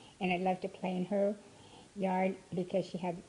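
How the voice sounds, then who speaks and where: At a moderate pace, a woman speaks at a medium pitch, her tone dark and mellow and somewhat breathy. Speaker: grandmother telling her life story. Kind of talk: personal reminiscence interview. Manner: talkative, chatty.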